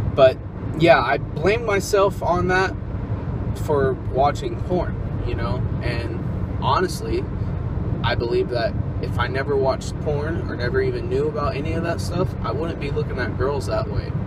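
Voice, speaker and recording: Over loud background noise, a man's voice comes through dry, with no echo. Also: moderate pace. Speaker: vlogger. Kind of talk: casual vlog chat. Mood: earnest, opinionated. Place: car. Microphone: phone near.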